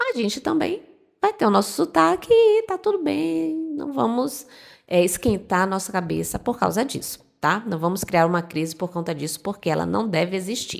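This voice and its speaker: A woman speaks with a northeastern Brazilian accent. Her tone is relaxed and her pace moderate. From Northeast Brazil. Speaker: Spanish teacher. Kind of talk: tutorial. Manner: relaxed, conversational.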